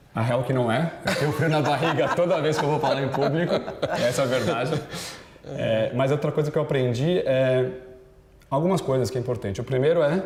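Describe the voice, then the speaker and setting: In a room with audible echo and noticeable background noise, a man speaks fairly quickly with very even loudness, ordinary pitch variation and long, frequent pauses. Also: fairly high pitch for a man. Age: 30s. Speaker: business executive. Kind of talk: interview. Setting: TV studio. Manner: fast.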